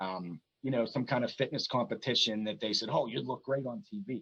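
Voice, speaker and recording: A man speaks at a moderate pace in a plain, everyday voice. His pitch sits in the medium range. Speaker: pro wrestling ring announcer. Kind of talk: casual podcast interview answer.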